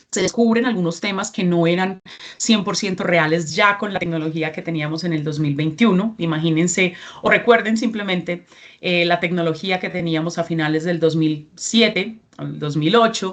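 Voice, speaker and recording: A woman with a Colombian accent, fairly low in pitch, at a moderate pace with ordinary pitch variation. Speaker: regional representative of a certification NGO. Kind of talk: training presentation.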